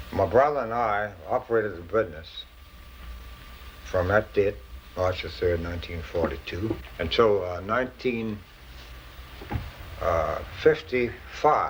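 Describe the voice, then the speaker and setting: Against noticeable background noise, a man with a Charleston accent speaks at a fairly low pitch. His intonation is lively, broken by long, frequent pauses. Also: fairly slow pace. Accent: Charleston Southern US. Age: 70s. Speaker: pharmacist and drugstore owner. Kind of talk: casual chat with customers.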